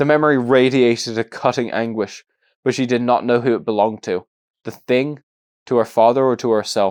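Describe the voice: Over a quiet background comes plain reading aloud, its intonation fairly even.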